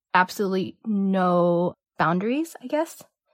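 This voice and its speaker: In a very clean recording with a silent background and a dry, close sound with no echo, a woman with a Cantonese accent speaks at a medium pitch and a fairly slow pace. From San Francisco Bay Area, US. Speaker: artist. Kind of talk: casual interview chat. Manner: hesitant, fillers like um and like.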